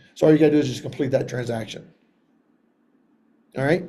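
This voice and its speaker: In a somewhat breathy voice with a dark, mellow tone, a man speaks at a fairly high pitch and with fairly even intonation. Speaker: software trainer for wrestling coaches. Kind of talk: online training tutorial. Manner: fast.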